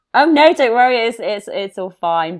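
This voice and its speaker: A woman talks with a British accent. Her pace is fairly quick. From northwest England, near Liverpool. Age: 30s. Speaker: podcaster and long-distance hiker. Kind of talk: casual interview chat.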